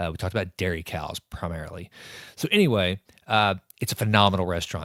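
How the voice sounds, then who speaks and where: With an East Texas accent, a man talks very fast in a very deep, low pitch with ordinary pitch variation, the sound dry and close with no echo on a very clean recording against a silent background. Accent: East Texas Southern US. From East Texas, Sulphur Springs. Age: 40s. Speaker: podcast host. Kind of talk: podcast introduction. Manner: loud; casual with many uh fillers.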